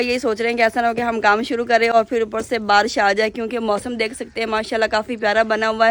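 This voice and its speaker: A woman talks at an average speed, her fairly high voice held in a flat, monotone intonation. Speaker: village vlogger. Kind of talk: casual vlog narration.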